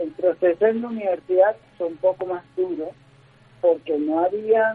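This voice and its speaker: Music plays in the background as a man speaks at a fairly slow pace. His pitch is high, with ordinary variation. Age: 30s. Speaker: motivational speaker and organizational consultant. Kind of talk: radio interview. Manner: halting, many fillers.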